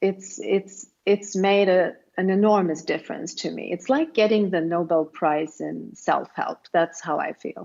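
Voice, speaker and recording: A woman speaks in a Swedish accent at a medium pitch and a fairly slow pace, with ordinary pitch variation and hardly any pauses. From Sweden. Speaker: self-help writer. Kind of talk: interview.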